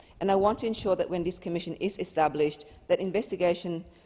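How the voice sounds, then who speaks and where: A woman speaks with a fairly low pitch and a dark, mellow tone. Her pitch varies in an ordinary way. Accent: non-native. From Australia. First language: not English. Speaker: member of parliament. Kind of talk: parliamentary speech.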